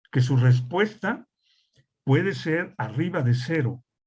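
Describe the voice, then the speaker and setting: Somewhat breathy, fairly high voice of a man, with ordinary pitch variation. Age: 60s. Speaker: industrial hygienist instructor. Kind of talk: lecture. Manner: conversational, with fillers.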